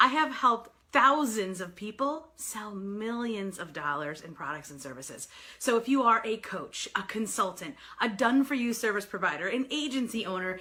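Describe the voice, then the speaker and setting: Amid noticeable background noise, a woman with a New York accent and a fairly high pitch speaks at a moderate pace in an animated tone, with very wide pitch swings and big swings in loudness. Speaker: sales coach and author. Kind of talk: live video broadcast. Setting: live stream.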